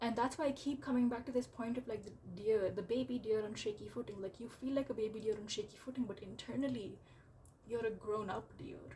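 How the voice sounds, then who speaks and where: Here a woman talks at a fairly quick pace in a fairly high, somewhat breathy voice. Her intonation stays fairly even. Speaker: tarot reader. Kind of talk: tarot reading to camera. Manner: casual, filler-heavy with repetitions.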